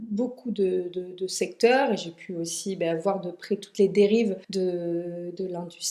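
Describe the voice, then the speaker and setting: Her pitch is medium for a woman, and her intonation stays fairly even. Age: 30s. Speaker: cosmetics brand founder. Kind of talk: podcast interview. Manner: halting, many hesitations.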